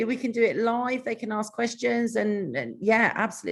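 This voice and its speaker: A woman with a British accent talks at a very fast pace in a fairly high voice marked by vocal fry. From Britain. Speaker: author. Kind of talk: interview. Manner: energetic.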